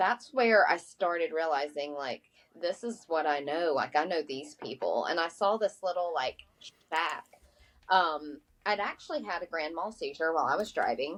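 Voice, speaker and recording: With an Appalachian accent, a woman speaks at a moderate pace in a fairly low pitch with lively intonation. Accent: Southern US (Appalachian). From Appalachia, North Carolina. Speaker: author and magazine editor. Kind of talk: interview.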